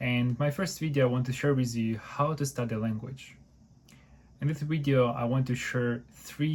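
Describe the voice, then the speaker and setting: In a Ukrainian accent, a man talks at a medium pitch and a moderate pace, somewhat breathy and with fairly even intonation. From Ukraine. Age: 20s. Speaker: university student and language learner. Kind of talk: tutorial.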